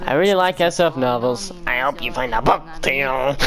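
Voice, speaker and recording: Over clear background noise, a man does a put-on character voice, fairly high in pitch, at a moderate pace. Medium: game stream.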